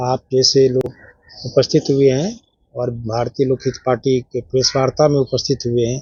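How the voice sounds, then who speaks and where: Somewhat breathy, a man speaks at a medium pitch with monotone, flat intonation. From Bihar, India (Vaishali). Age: 60s. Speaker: party convener and school founder. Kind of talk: press conference.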